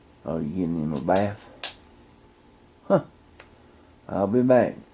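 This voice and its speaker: With a very deep, low pitch and lively intonation, a man speaks at a fairly slow pace against noticeable background noise. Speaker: vlogger. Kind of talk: casual vlog talk. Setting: indoors then outdoors at mom's house. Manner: quiet, talking low indoors; louder outside.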